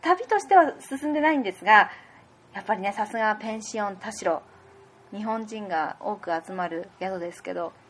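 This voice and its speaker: This woman has a normal speaking voice, fairly high in pitch, with lively intonation, a moderate pace and big swings in loudness. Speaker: podcast host. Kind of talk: casual chat; scripted intro.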